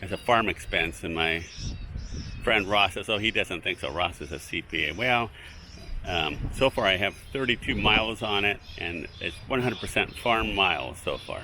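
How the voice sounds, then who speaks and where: A man's fairly low voice at a moderate pace, with ordinary pitch variation and noticeable background noise. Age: 60s. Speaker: fig farmer and video blogger. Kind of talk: casual vlog talk. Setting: outdoors in an orchard. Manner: halting, many fillers.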